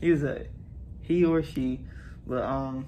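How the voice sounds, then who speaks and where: Against audible room echo, a man speaks at a medium pitch in a dark, mellow tone with fairly even intonation. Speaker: family vlogger. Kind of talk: casual vlog talk.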